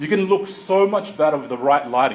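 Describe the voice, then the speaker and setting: Ordinary pitch variation marks a man's voice at a fairly quick pace. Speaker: marketing consultant. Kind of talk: presentation. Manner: fast.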